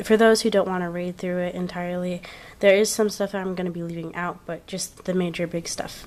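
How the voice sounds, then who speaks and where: A woman with a medium pitch and fairly even intonation speaks over noticeable background noise. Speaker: craft video creator. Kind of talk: tutorial. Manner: casual.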